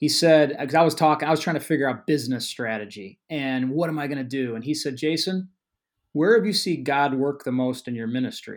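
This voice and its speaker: Pitched fairly high, a man speaks in an unremarkable speaking voice at a fairly quick pace. His pitch variation is ordinary, and the recording is very clean with a silent background. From Chicago suburbs, Illinois. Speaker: outdoor events business founder. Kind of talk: interview.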